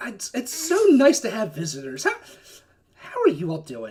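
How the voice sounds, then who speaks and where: This is a put-on character voice with a fairly high pitch. It moves along at a moderate pace. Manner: friendly, polite.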